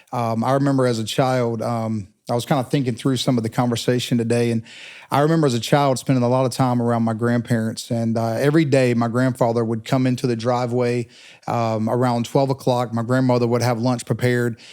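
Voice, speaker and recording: Speaking very fast in a monotone, flat intonation, a man has a medium pitch. He talks with an Eastern North Carolina accent. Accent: Eastern North Carolina Southern US. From Eastern North Carolina, Pitt County. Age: 40s. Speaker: telecom professional. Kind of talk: interview conversation.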